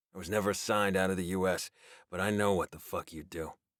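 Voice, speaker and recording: In a raspy, put-on character voice with a very deep, low pitch, a man rattles along at a very fast pace with big swings in loudness, the sound dry and close with no echo and the recording very clean over a silent background. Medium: read story.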